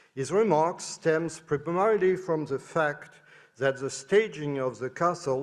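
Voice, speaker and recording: Fairly slow and lively in intonation, a man with a fairly high voice speaks with a French accent. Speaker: professor. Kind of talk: conference talk. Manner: halting.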